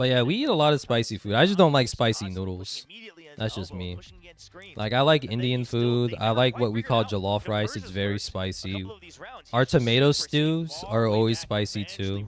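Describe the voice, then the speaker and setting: A man speaks with lively intonation. Noticeable background noise can be heard. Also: medium pitch for a man, moderate pace. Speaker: streamer doing a live watch party. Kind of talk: casual live commentary. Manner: casual, filler-heavy.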